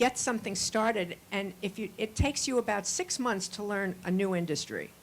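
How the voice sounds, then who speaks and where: With a plain, everyday voice, a woman talks at a fairly quick pace in medium pitch and ordinary pitch variation. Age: 60s. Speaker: audience member, newspaper founder and CEO. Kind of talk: conference audience discussion.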